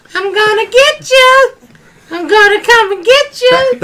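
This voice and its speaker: In a put-on character voice, the speaker uses an extremely high pitch and a fairly slow pace. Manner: creepy, threatening.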